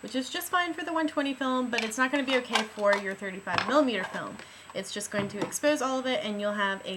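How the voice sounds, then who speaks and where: A woman with lively intonation moves at a fairly quick pace, noticeable background noise behind her. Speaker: film teacher. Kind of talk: how-to tutorial talk to camera. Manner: teacher-like, instructive.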